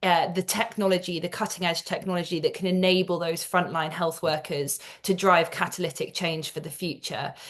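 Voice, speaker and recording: A woman with a British accent speaks at a fairly low pitch in a flat monotone. She barely pauses at all. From England. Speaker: global health executive. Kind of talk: interview. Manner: halting, many fillers and repeated words.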